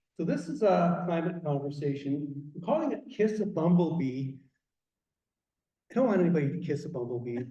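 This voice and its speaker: A man's fairly high, dark, mellow voice with a Canadian accent, lively intonation and a fairly quick pace, in audible room echo. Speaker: garden naturalist speaker. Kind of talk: public talk. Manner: animated.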